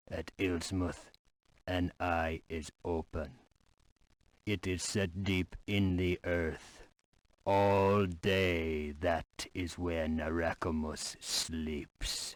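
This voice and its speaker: A man's put-on character voice, very deep and low in pitch, at a very slow pace. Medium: video game. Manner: earnest, brief.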